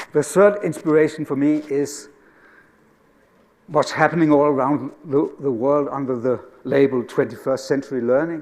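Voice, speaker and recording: A man with a Danish accent and a fairly high pitch speaks at a moderate pace with fairly even intonation. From Denmark. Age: 60s. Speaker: educator. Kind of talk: conference talk.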